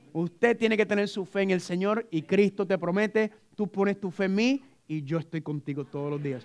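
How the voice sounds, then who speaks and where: Animated in tone, a man with a high pitch speaks at a fairly quick pace with ordinary pitch variation. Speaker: preacher. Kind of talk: sermon. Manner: fast.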